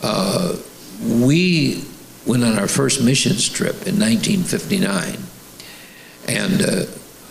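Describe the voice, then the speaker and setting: The voice moves through very wide pitch swings over noticeable background noise. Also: man. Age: 80s+. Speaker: bishop and senior pastor. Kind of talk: sermon interview. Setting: church.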